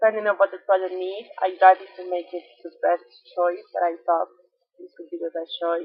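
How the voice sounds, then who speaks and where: In a Colombian accent, a woman at medium pitch speaks with monotone, flat intonation and big swings in loudness. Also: moderate pace. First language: Spanish. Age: 20s. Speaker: environmental engineer. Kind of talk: self-presentation. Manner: halting.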